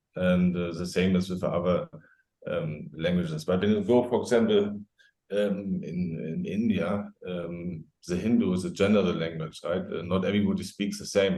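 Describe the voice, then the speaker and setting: Speaking with a strong German accent, a man uses a very deep, low pitch and a dark, mellow tone, keeping his intonation fairly even at a moderate pace. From Germany. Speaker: safety expert. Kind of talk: podcast interview. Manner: halting.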